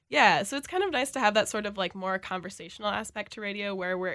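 A woman talks at a very fast pace with an American accent. Her medium-pitched voice has a bright, sharp tone. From Minnesota, Elk River. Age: 20s. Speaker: college radio music director. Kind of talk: radio interview.

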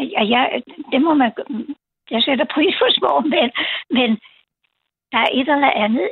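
A woman speaks at a very slow pace and a high pitch, with long, frequent pauses. Her loudness stays very even. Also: ordinary pitch variation. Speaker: caller. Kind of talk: call-in radio chat. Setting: phone call. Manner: halting.

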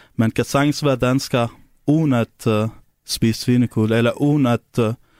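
Monotone and flat in intonation, a man with an Arabic accent speaks at a fairly slow pace, his voice dry and close with no echo on a very clean recording with a silent background. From Syria. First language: Arabic (speaking Danish). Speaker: taxi driver. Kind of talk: interview. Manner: halting.

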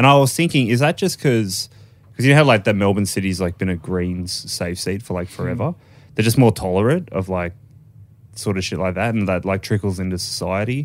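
A man with a plain, everyday voice talks at a fairly quick pace, his fairly low pitch carried by lively intonation. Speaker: podcast host. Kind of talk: casual chat.

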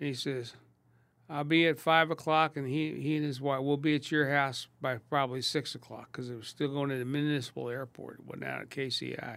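A fairly high-pitched man with an American accent at a fairly quick pace, in a monotone, flat intonation. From Kansas City, US Midwest. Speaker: restaurateur. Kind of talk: casual chat.

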